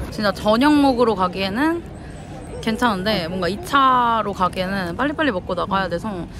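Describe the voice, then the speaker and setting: A woman speaks at a moderate pace with crowd noise behind her. The sound is dry, with no echo. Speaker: travel vlogger. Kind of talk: casual vlog chat. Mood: cheerful, laughing. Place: street. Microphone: phone near.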